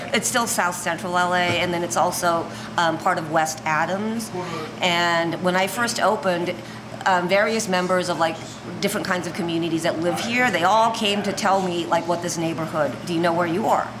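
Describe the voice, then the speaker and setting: A woman speaks at a moderate pace with a fairly low pitch and fairly even intonation. Noticeable background noise runs under her voice. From Los Angeles, from age five. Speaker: restaurant owner. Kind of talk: casual interview conversation. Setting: in a restaurant. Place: cafe. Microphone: studio mic.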